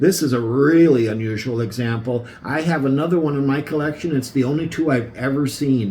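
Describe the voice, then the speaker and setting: Over audible room echo, a man talks enthusiastically at a fairly quick pace with hardly any pauses, his fairly high pitch showing ordinary variation. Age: 60s. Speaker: antique ornament collector. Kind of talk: show-and-tell video presentation. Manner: casual.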